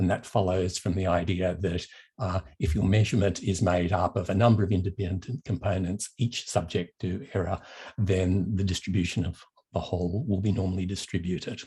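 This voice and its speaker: With an Australian accent, a man speaks in a very deep, low, somewhat breathy voice with a dark, mellow tone and fairly even intonation, captured in a very clean recording with a silent background. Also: fairly quick pace. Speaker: professor of mathematical psychology. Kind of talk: lecture.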